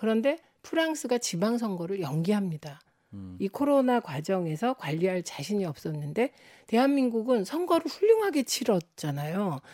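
Her tone dark and mellow, a woman speaks at a moderate pace with very wide pitch swings. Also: fairly high pitch for a woman, dry, close sound with no echo. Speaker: former lawmaker and author. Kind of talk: political discussion.

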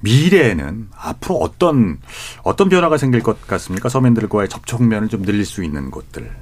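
Vocal fry marks this man's medium-pitched voice, which moves at a moderate pace with very wide pitch swings. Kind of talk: radio panel discussion moderation. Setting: radio studio.

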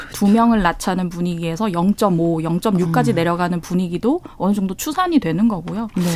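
Through noticeable background noise, a woman at a medium pitch talks at a fairly quick pace with hardly any pauses and ordinary pitch variation. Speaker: journalist. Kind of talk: radio news discussion. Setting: radio studio.

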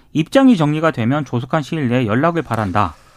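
A man speaks in a plain, everyday voice at a fairly high pitch and a fairly quick pace. The recording is very clean, with a silent background and a dry, close sound with no echo. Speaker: journalist. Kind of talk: news briefing.

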